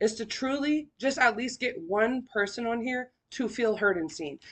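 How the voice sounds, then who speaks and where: A woman's high-pitched voice with an American accent. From Sacramento, California. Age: 20s. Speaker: podcast host. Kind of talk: personal testimony podcast. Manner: casual, filler-heavy.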